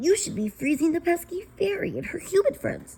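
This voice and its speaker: Pitched extremely high, a put-on character voice rattles along at a fairly quick pace. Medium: read story. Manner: sneering, bossy.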